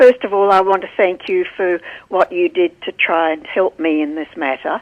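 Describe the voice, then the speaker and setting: A woman with an Australian accent speaks at a moderate pace, her medium pitch showing ordinary variation. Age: 80s+. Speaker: caller. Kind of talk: radio call-in.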